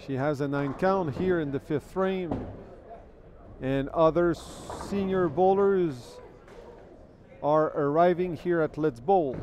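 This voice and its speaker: A man with a French Canadian accent and a fairly high pitch, at a very slow pace with long, frequent pauses, over noticeable background noise. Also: ordinary pitch variation. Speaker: bowling commentator. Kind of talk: live commentary. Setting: bowling centre livestream.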